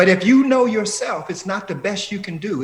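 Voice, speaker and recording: An animated tone at a moderate pace, over noticeable background noise. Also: man. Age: 60s. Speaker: professor. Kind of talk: interview.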